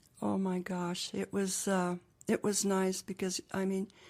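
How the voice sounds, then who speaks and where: A woman's dark, mellow, medium-pitched voice with an American accent, at a fairly slow pace. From US Southwest, Gallup, New Mexico. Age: 80s+. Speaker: interviewee. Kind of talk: oral history interview.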